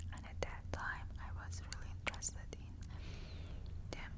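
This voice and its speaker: Loud noise runs through the background. Over it, a woman talks. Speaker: ASMR artist. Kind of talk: whispered ASMR ramble while eating candy. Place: home room. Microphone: lapel.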